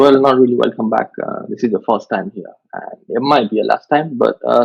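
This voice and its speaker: A man of medium pitch speaks with a Mumbai accent. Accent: Indian (Mumbai). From India, Mumbai. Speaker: vlogger, podcast host. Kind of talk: casual chat. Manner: halting, many fillers.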